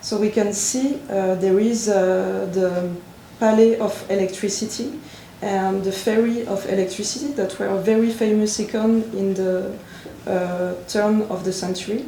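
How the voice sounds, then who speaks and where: Amid noticeable background noise and audible room echo, a woman with a French accent speaks at a fairly slow pace in a medium pitch with fairly even intonation. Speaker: visual artist. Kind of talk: conference talk. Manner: halting.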